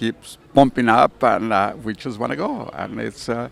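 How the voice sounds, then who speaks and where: A man at medium pitch talks with vocal fry. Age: 80s+. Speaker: amateur racing driver. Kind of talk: casual interview. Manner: halting.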